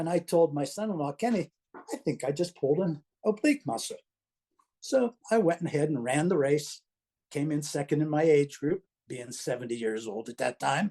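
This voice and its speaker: A man with an American accent speaks at a moderate pace with lively intonation, a fairly high pitch and a dark, mellow tone, in a dry, close sound with no echo. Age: 70s. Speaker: retired teacher and cancer patient. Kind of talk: personal testimony.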